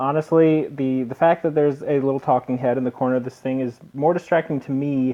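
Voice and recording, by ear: In a natural voice, someone reads aloud.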